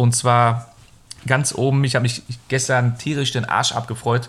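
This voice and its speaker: The man speaks at a fairly slow pace with monotone, flat intonation. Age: 30s. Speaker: film podcast host. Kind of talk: casual chat.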